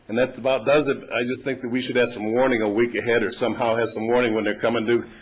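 A man with an American accent at a very fast pace, monotone and flat, over noticeable background noise. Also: medium pitch for a man. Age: 60s. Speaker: resident speaking at public comment. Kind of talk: public comment at council meeting. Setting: city council meeting. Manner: conversational, somewhat rambling.

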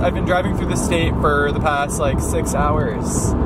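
Loud background noise accompanies a man speaking at a moderate pace in a dry sound with no echo. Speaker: vlogger. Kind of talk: casual vlog chat. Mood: playful, mildly exasperated. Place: car. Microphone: phone near.

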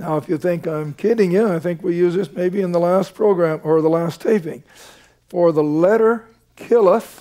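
A man speaks with a high pitch and a dark, mellow tone. His pitch varies in an ordinary way, and the background is quiet. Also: moderate pace. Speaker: Bible teacher. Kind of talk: Bible study teaching to a studio audience. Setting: studio. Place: studio. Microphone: headset.

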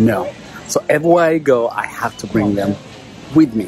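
Over clear music in the background, a man talks at a moderate pace with a dry sound and no echo. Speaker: dad vlogger. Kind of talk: casual vlog chat. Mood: cheerful, lightly amused. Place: shop. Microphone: phone near.

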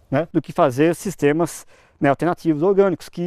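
Speaking at a fairly quick pace, a man with a high pitch and a dark, mellow tone comes through with a dry sound, no echo, and a quiet background. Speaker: agronomy professor and researcher; agronomy professor. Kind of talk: interview. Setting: on location at an experimental farm. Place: farm. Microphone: lapel.

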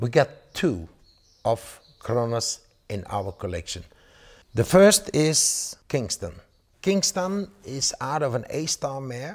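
The voice moves through very wide pitch swings at a very slow pace, with long, frequent pauses. The background is quiet. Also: man. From Belgium. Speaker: horse breeder and auctioneer. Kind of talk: promotional interview. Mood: enthusiastic, praising horses. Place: home room. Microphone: lapel.

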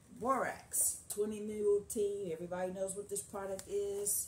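Amid light background noise and audible room echo, a woman speaks at a fairly slow pace. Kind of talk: tutorial. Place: home room. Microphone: phone near.

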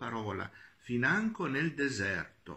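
A man at a very slow pace. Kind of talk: homily. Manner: halting.

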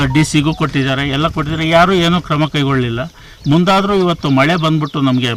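Noticeable background noise under a man's speech of ordinary pitch variation. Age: 60s. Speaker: village elder. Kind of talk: news interview.

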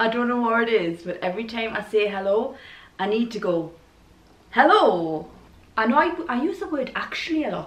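Lively intonation and a moderate pace mark this voice with a Geordie accent, set against audible room echo. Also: woman. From Newcastle, England. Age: 40s. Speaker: vlogger. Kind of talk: casual talk to camera. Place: home room.

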